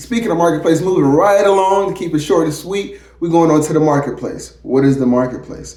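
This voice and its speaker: A man talks in an animated tone at a fairly quick pace, with ordinary pitch variation. The room echo is audible, and there is noticeable background noise. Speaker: chef and entrepreneur giving business tips. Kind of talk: casual vlog tutorial. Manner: fast; animated, conversational.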